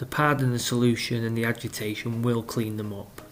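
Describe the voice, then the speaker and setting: Music playing behind a man's moderate-paced speech at a medium pitch. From North West England. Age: 30s. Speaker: tile cleaning technical director. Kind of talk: instructional voice-over. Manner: casual, explanatory.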